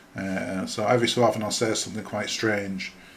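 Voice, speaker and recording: Over noticeable background noise, a man talks in a fairly low voice. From northern England, Huddersfield (Yorkshire). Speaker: podcaster. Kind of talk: casual solo podcast monologue. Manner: hesitant, many fillers (um, uh) and repetitions.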